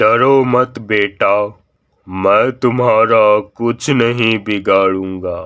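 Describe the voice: Using a cartoonish character voice, a man at a medium pitch talks at a very slow pace.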